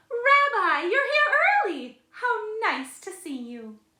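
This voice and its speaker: A woman puts on a squeaky character voice at an extremely high pitch. She goes at a fairly slow pace with very wide pitch swings. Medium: read story. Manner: warm, chatty.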